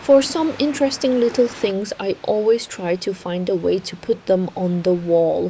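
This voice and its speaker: A woman with a Chinese accent speaks at a moderate pace, barely pausing, with lively intonation and a medium pitch. Noticeable background noise runs underneath. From Yunnan, China. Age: 30s. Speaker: vlogger. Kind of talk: home tour narration.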